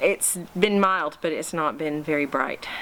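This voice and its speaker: Speech at a medium rate comes with an American accent. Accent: American with slight Scottish twang. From United States. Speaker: home gardening vlogger. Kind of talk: casual vlog talk to camera. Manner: hesitant, many fillers.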